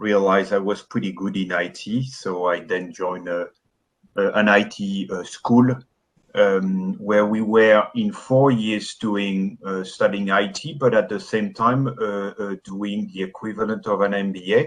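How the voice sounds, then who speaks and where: Very slowly, a man with a strong French accent speaks in a fairly low pitch with fairly even intonation. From France. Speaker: business founder, IT architect. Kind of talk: interview.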